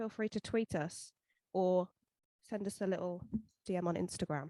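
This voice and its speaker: In an English accent, the voice has a dark, mellow tone, ordinary pitch variation and a moderate pace, with a dry, close sound and no echo. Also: woman, medium pitch for a woman. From England. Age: 20s. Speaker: podcast co-host. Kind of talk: casual chat.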